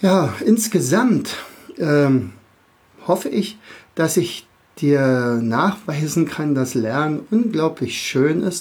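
Very slow, lively speech from a man with a fairly high voice, broken by long, frequent pauses. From Berlin area, Germany. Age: 50s. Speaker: teacher and podcast host. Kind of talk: podcast monologue for kids. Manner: hesitant, many filler sounds.

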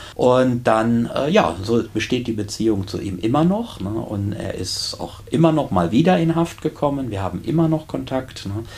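With hardly any pauses, a man speaks at a moderate pace and medium pitch with lively intonation over noticeable background noise. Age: 50s. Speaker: prison chaplain and deacon. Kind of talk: casual interview.

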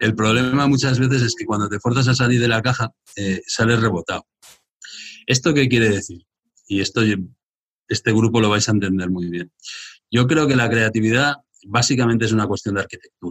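A man speaks at a medium pitch and a fairly quick pace, somewhat breathy, with ordinary pitch variation. He leaves long, frequent pauses, and the sound is dry and close with no echo. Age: 50s. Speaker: entrepreneur. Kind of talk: live interview in front of audience. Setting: live event with young audience.

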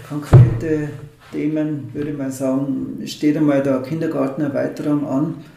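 Amid noticeable background noise and audible room echo, a man talks with monotone, flat intonation. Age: 50s. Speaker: mayoral candidate, engineer. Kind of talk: interview.

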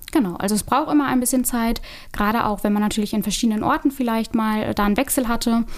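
A woman talks very fast in a fairly high pitch, with ordinary pitch variation and very even loudness. Noticeable background noise can be heard. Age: 30s. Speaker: real estate agent. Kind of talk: interview.

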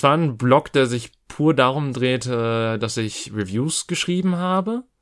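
Man speaking at a very slow pace on a very clean recording with a silent background. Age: 30s. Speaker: podcast host. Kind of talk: casual chat.

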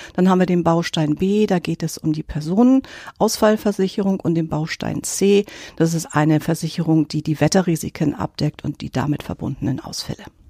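The tone is dark and mellow, with ordinary pitch variation at a moderate pace and hardly any pauses. Sound is dry and close, with no echo. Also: woman, fairly low pitch for a woman, very clean recording, silent background. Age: 60s. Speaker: insurance specialist. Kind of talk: expert interview.

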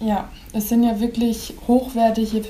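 Over noticeable background noise, a woman speaks very slowly in a fairly high, monotone voice with flat intonation. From Upper Franconia, Pottenstein. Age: 20s. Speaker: seamstress, bridal consultant. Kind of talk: casual interview.

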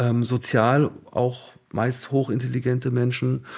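A somewhat breathy man's voice at a very slow pace. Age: 50s. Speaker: artist manager. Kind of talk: interview.

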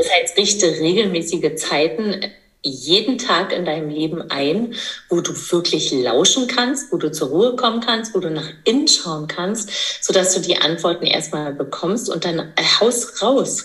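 Amid noticeable background noise and audible room echo, a woman talks fairly slowly at a medium pitch with lively intonation. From eastern Germany. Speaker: midwife and entrepreneur. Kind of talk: casual interview.

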